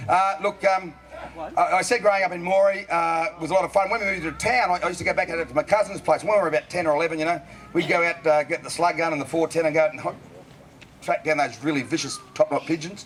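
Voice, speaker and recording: Noticeable background noise sits under a man talking at a very fast pace with an Australian accent. His pitch is high, with ordinary variation. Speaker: bush poet. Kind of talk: comic storytelling to a live audience. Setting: live outdoor event. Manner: casual, joking.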